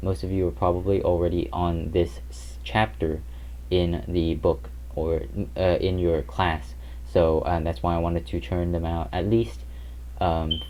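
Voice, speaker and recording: A man's very deep, low, somewhat breathy voice at a fairly slow pace, with audible room echo. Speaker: math tutor. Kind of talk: lecture. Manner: hesitant, many fillers.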